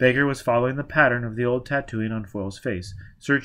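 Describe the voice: The clip is plain reading aloud.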